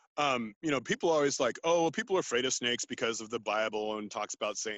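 Lively intonation marks this man's speech, delivered at a very fast pace. He talks with a Californian accent. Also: dry, close sound with no echo. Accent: Californian American. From US West Coast, San Francisco Bay Area. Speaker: naturalist and outdoor educator. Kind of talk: casual interview. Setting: video call from a redwood forest.

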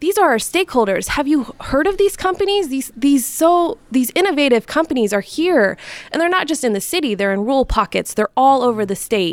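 A woman with a Midwestern American accent speaks at a high pitch with very wide pitch swings. She moves at a fairly quick pace with hardly any pauses. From Northwest Indiana. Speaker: communications director. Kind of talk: interview. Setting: recorded on location.

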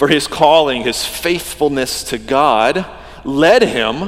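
A man with an American accent speaks with lively intonation at a fairly high pitch. Audible room echo and noticeable background noise fill the recording. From US South, Georgia. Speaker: pastor. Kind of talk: sermon. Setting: church.

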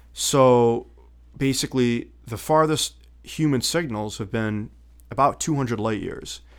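At a fairly slow pace, a man talks at medium pitch. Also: ordinary pitch variation. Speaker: guest and military veteran. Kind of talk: casual podcast chat.

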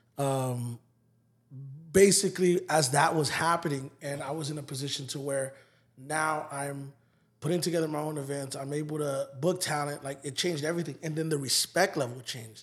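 This is a normal speaking voice at a moderate pace. The intonation is fairly even. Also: man, fairly high pitch for a man. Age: 30s. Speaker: music promoter and hip hop artist. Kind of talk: casual interview chat.

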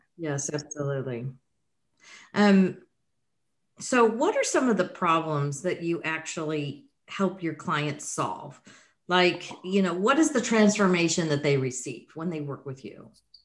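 In an American accent, a woman with a fairly low pitch and a normal speaking voice talks at a fairly slow pace with lively intonation against a quiet background. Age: 60s. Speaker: podcast host. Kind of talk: interview.

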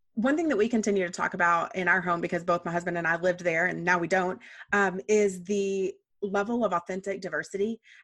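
At a very fast pace, a woman speaks with medium pitch, fairly even intonation and very even loudness. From Texas. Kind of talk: casual chat.

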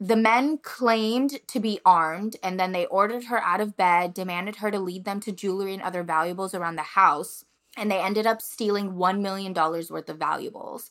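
A woman's normal speaking voice at medium pitch, fairly quick with hardly any pauses, ordinary pitch variation, on a very clean recording with a silent background. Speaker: podcast co-host. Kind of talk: casual chat.

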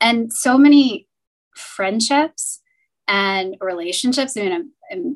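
This woman has an ordinary speaking voice and an American accent. She talks at a fairly slow pace. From US Midwest, Cincinnati. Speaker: banking executive. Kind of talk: interview.

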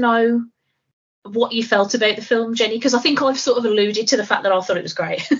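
A woman's very fast speech in a British accent, fairly high in pitch with ordinary pitch variation. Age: 30s. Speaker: podcast co-host. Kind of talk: casual chat.

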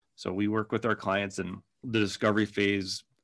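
A man with a Minnesota accent speaks in a monotone, flat intonation at a moderate pace. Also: very clean recording, silent background. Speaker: digital agency owner. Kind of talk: casual interview.

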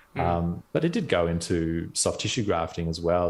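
Recorded very cleanly against a silent background, a man with an Australian accent talks at a fairly quick pace. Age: 30s. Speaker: dentist. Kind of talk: casual interview chat.

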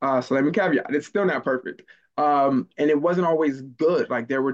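A man speaks in a normal speaking voice, keeping a moderate pace and ordinary pitch variation. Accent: American. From Maryland, later US South. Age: 20s. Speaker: public speaker. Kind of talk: interview conversation. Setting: call.

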